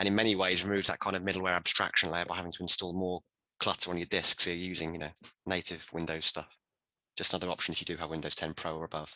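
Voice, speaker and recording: Very fast and monotone, a man with a British accent speaks in a very deep, low pitch with a bright, sharp tone, in a dry, close sound with no echo. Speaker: IT professional. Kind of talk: round table discussion.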